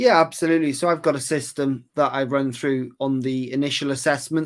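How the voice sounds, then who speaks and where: Over a silent background in a very clean recording, a man with a Welsh accent talks at a fairly quick pace in a monotone, flat intonation. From West Wales. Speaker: golf putting coach. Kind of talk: interview.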